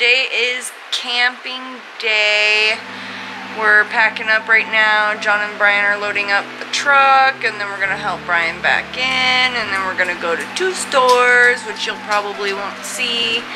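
A woman speaks at a fairly slow pace. Her intonation stays fairly even over noticeable background noise. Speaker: vlogger. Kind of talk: casual vlog chat. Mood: relaxed, a bit drowsy, playful. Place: home room. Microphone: phone near.

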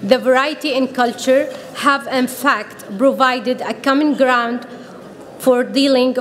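A woman with an Arabic accent speaks at a very slow pace in a high voice. Light background noise can be heard. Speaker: PhD student in sociology. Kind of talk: prepared speech. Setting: podium at a conference with audience. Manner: formal. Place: hall. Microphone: podium.

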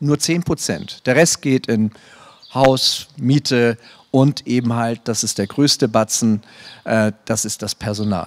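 Ordinary pitch variation from a man talking at a very slow pace. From northern Germany. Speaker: theatre director. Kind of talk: panel discussion. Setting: stage with audience. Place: stage.

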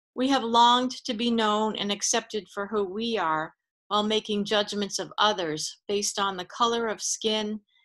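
A woman talks at a moderate pace. Her intonation is fairly even, and the background is quiet. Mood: solemn, measured. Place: home room. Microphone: video call.

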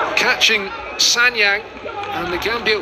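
A man's moderately paced speech comes through over noticeable background noise. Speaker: football commentator. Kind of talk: live match commentary over highlights. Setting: highlights video with stadium commentary.

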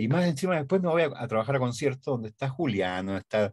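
Fairly quick, somewhat breathy speech from a man with lively intonation against a quiet background. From Chile. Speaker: radio and TV announcer. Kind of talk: interview answer. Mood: warm, nostalgic. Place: studio.

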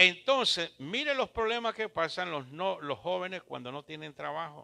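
Lively intonation and a bright, sharp tone mark this man's voice. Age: 70s. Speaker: pastor. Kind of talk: sermon. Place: church. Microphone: handheld.

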